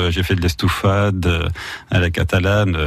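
Over noticeable background noise, a man with a Belgian accent speaks at a moderate pace in a very deep, low pitch. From Belgium, Wallonia. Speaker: wine shop manager. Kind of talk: radio interview.

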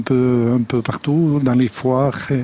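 A man speaks at a very slow pace. His medium pitch stays monotone and flat. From French Basque Country, Aldudes valley. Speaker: pig farmer and charcuterie business owner. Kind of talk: radio interview. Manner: halting.

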